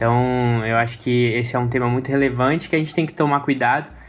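A man talks with monotone, flat intonation. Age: 20s. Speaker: church lay leader. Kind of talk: casual chat. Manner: halting.

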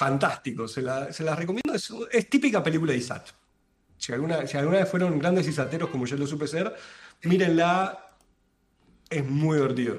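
At a fairly quick pace but with long, frequent pauses, a man talks in a fairly high pitch with ordinary pitch variation. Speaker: podcast co-host. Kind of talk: casual chat. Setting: live stream.

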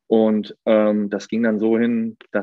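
This is a man speaking at medium pitch. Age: 30s. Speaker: athletic trainer. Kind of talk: casual chat.

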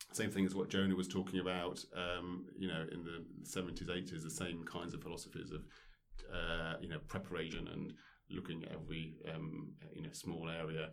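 In a room with audible echo, a man talks at a very deep, low pitch with fairly even intonation. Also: moderate pace. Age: 40s. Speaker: former professional squash player. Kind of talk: casual interview. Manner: hesitant, many fillers.

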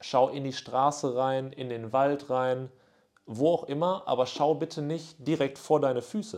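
A man talks at a fairly slow pace in an ordinary speaking voice. The background is quiet. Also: fairly high pitch for a man, ordinary pitch variation. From northwestern Germany, near Münster. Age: 20s. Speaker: podcast host. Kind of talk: casual solo monologue. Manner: casual with frequent fillers.

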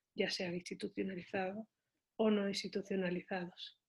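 A somewhat breathy woman at medium pitch, with ordinary pitch variation, a moderate pace and a quiet background. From Seville, southern Spain. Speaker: visual artist and university lecturer. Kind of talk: interview.

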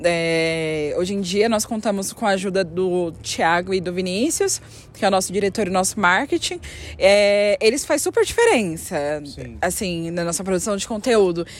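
Noticeable background noise sits behind the voice. The speaker keeps a moderate pace with ordinary pitch variation. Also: woman, medium pitch for a woman. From São Paulo, West Zone. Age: 20s. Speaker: dancer. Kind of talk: interview.

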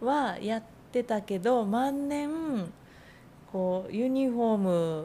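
A woman speaks at a very slow pace with long, frequent pauses. Her voice is fairly high in pitch with a dark, mellow tone and lively intonation. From Nagano, Iida (southern Nagano). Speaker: freelance designer and writer. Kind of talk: casual interview.

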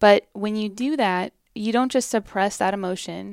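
A woman's fairly high voice at a fairly slow pace, with ordinary pitch variation and a dry, close sound with no echo. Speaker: singer-songwriter guest. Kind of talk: casual interview chat.

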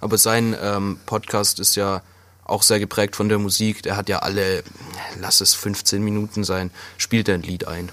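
Monotone and flat, a man's fairly low voice moves at a fairly slow pace. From Swabia, southwestern Germany. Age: 20s. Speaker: podcast co-host, chimney sweep. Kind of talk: casual chat.

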